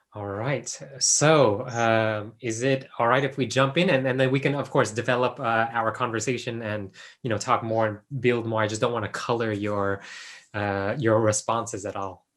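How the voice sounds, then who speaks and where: A man with an American accent uses a normal speaking voice at medium pitch and a moderate pace, in a very clean recording with a silent background. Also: fairly even intonation. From US, Los Angeles. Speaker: PhD researcher, former teacher. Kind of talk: interview.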